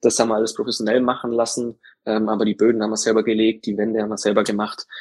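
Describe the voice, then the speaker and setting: Speaking at a very fast pace and medium pitch, a man comes through in a dry, close sound with no echo. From Allgäu, Bavaria (Kempten). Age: 20s. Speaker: insurance field sales employee. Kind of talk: interview.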